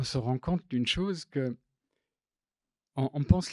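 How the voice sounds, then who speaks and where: Over a very clean recording with a silent background, a man with a non-native accent talks at a fairly slow pace, his fairly high pitch and dark, mellow tone carried by lively intonation. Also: dry, close sound with no echo. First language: not French (speaking French). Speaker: graphic designer and typographer. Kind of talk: public talk. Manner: halting, many hesitations.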